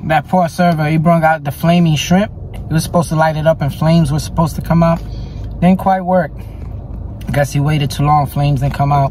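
A man's voice with fairly even intonation, dry sound with no echo, and light background noise. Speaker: food vlogger. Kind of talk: casual vlog chat. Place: car. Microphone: phone near.

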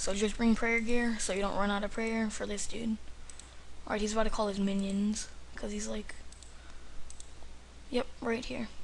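Over light background noise, a man talks in a high pitch for a man with monotone, flat intonation, keeping a moderate pace broken by long, frequent pauses. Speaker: gamer. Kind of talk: video game commentary. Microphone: webcam.

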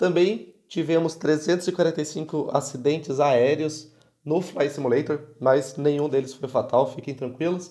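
A man's fairly high voice has a dark, mellow tone, moving at a fairly slow pace with ordinary pitch variation. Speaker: gaming youtuber. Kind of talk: comedic video monologue. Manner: animated.

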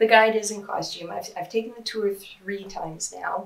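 A woman with fairly even intonation. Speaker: interviewee. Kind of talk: interview answer. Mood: calm, critical explanation. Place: office.

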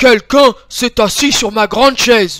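Putting on a character voice, a man speaks at a moderate pace with an extremely high pitch. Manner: exclaiming, indignant.

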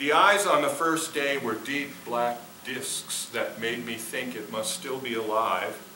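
A man with an American accent talks with lively intonation, with light background noise and audible room echo. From Minnesota, US. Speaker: poet. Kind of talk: poetry reading performed. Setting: theater with audience. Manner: measured, expressive. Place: stage.

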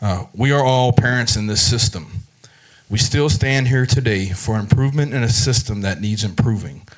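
A man's voice with ordinary pitch variation at a moderate pace. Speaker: chamber of commerce chair at public comment. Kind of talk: prepared public statement. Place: hall. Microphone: podium.

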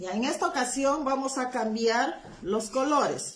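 Pitch varies in an ordinary way as a woman speaks fairly slowly. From Peru, Huancayo. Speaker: craft instructor. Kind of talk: live-stream craft tutorial. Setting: live stream from home, not her workshop. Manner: chatty, informal. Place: home room. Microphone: phone near.

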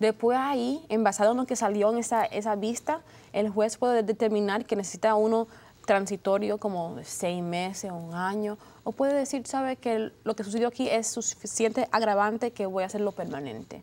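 A woman's fairly high voice, moderate in pace, with ordinary pitch variation. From United States, Dominican parents. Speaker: lawyer. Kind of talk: TV panel discussion. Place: studio. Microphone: lapel.

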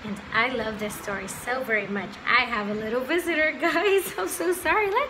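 A woman with a fairly high pitch speaks at a moderate pace with lively intonation over clear background noise.

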